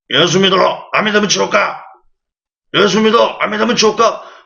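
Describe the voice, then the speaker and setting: Putting on a character voice, a man sounds gravelly and raspy at a high pitch. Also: moderate pace. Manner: shouting.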